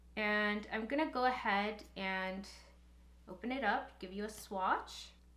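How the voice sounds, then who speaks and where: Audible room echo surrounds a woman's fairly high voice with a bright, sharp tone. Her pitch varies in an ordinary way. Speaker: beauty youtuber and makeup artist. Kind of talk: makeup review tutorial. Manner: occasionally halting, mumbles words; casual.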